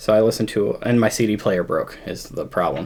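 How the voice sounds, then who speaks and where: This man talks at a fairly quick pace with fairly even intonation. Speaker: music podcast host. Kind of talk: casual chat. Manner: subdued, quieter than usual.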